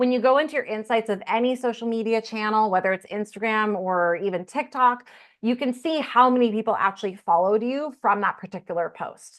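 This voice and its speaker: A woman with an ordinary speaking voice talks at a fairly quick pace with hardly any pauses, in a fairly high pitch with ordinary pitch variation. The background is quiet. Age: 30s. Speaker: content creator teaching a masterclass. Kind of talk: online masterclass. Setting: video call.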